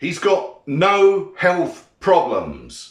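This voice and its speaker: A man's voice carries audible room echo. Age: 50s. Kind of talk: casual monologue responding to comments. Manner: irritated, ranting.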